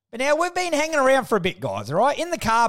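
Talking at a very fast pace, a man has a strong Australian accent. The recording is very clean, with a silent background. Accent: broad Australian. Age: 30s. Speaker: podcast host. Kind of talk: casual monologue. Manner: animated.

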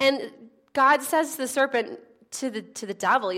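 A woman speaks in a raised, projected voice. Her pitch varies an ordinary amount. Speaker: preacher. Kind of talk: sermon. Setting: church.

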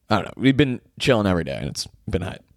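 The recording is very clean, with a silent background. A man speaks at a fairly low pitch with vocal fry. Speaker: podcast host and comedian. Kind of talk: casual solo chat. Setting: recording in bed in bedroom. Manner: laughs often.

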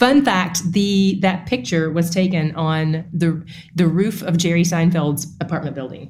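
Somewhat breathy, a woman talks at a fairly slow pace in a fairly low pitch, with ordinary pitch variation. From East Tennessee. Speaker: Bible teacher and podcast host. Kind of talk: interview conversation.

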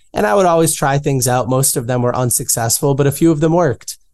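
This is a man with an ordinary speaking voice. His pitch is medium, with ordinary variation. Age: 20s. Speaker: entrepreneur and author. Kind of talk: interview.

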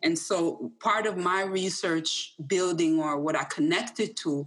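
A woman with a plain, everyday voice speaks fairly slowly at a fairly low pitch, keeping her intonation fairly even. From Jamaica, raised in Hartford, Connecticut. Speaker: social work professor. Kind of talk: panel discussion.

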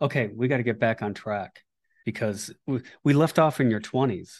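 A man talks at a fairly quick pace with vocal fry against a quiet background. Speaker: podcast host. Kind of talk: interview conversation.

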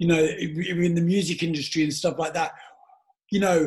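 At a moderate pace, a man with a London accent speaks in a high pitch. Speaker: podcast host, former DJ. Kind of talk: casual chat.

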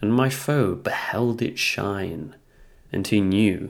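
This man has a British accent and a fairly low pitch. He speaks at a very slow pace. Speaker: podcast host. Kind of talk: poetry reading, then spoken analysis. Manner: casual, chatty.

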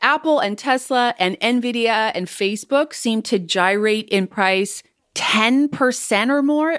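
On a very clean recording with a silent background, a woman with an ordinary speaking voice talks at a fairly slow pace and a fairly high pitch with ordinary pitch variation. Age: 40s. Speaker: financial planner and podcast host. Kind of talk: monologue podcast on investing.

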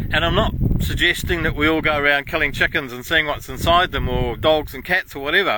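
A man with an Australian accent talks at a fairly quick pace, pitched fairly high with fairly even intonation. Noticeable background noise sits behind him. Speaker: podcast host. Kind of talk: casual monologue. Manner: hesitant, with fillers.

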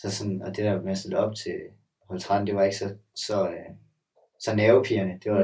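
Speaking at a very fast pace, a man with a fairly low pitch and a dark, mellow tone delivers his words in a flat monotone. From Denmark, Sønderborg (Southern Jutland). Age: 20s. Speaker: gymnast. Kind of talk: casual chat.

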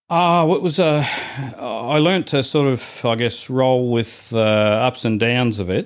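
Captured in a very clean recording against a silent background, the voice carries a New Zealand accent and ordinary pitch variation. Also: man. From New Zealand, Invercargill. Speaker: church member. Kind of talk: interview about life story.

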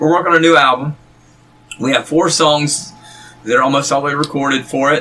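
Through noticeable background noise, a man with a North Carolina accent speaks with fairly even intonation and long, frequent pauses. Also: fairly quick pace. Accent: Southern US (North Carolina). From North Carolina, Gaston County. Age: 40s. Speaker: musician. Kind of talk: casual chat.

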